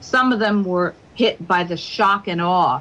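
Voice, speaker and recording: A woman with an American accent has a plain, everyday voice and ordinary pitch variation. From United States. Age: 60s. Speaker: radio show guest. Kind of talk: radio interview. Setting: radio show.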